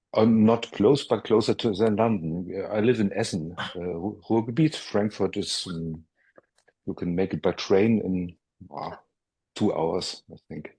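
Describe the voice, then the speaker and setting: This man has a fairly low pitch, a dark, mellow tone, ordinary pitch variation and a German accent. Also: fairly slow pace. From Germany. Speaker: meditation student. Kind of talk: casual chat. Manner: halting.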